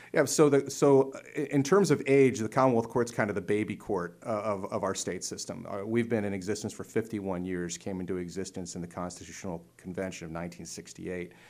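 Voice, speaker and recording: A man with an American accent talks in a plain, everyday voice at a fairly quick pace and fairly low pitch, with ordinary pitch variation and hardly any pauses. His loudness swings widely, captured on a very clean recording with a silent background. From north central Pennsylvania, Lycoming County. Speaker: judge and court candidate. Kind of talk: interview.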